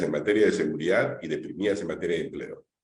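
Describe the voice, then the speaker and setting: A man is heard speaking with audible room echo. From Peru, Lima. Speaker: congressman moderating a panel. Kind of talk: panel discussion.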